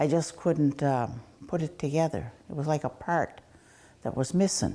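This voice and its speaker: The woman's voice is very deep and low, dark and mellow in tone, with ordinary pitch variation. The recording is very clean, the background silent. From Nova Scotia, Cape Breton Mi'kmaq community. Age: 70s. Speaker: residential school survivor. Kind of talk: personal testimony interview. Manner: halting, with fillers.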